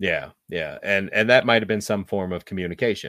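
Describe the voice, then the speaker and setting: Very clean and silent in the background, the recording has a man with a bright, sharp tone speaking at a moderate pace with ordinary pitch variation. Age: 40s. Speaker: podcast host, movie reviewer. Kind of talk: casual chat, movie review.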